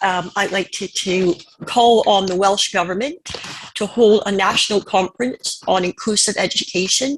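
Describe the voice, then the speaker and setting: A woman with a plain, everyday voice and a Canadian accent, medium pitch, ordinary pitch variation and a fairly slow pace. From Canada. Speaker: panelist. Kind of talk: conference presentation.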